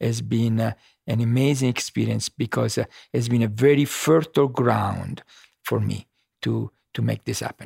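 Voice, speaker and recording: A man speaks with an Italian accent, leaving long, frequent pauses. The sound is dry and close, with no echo. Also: moderate pace. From Sicily, Italy. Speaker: fashion designer. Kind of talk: casual interview. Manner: cheerful, warm.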